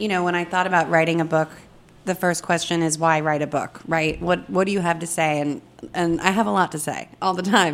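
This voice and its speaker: A normal speaking voice from a woman, fairly low in pitch, with lively intonation and a fairly quick pace. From Los Angeles, US. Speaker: cookbook author, former food editor. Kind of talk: casual chat. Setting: studio.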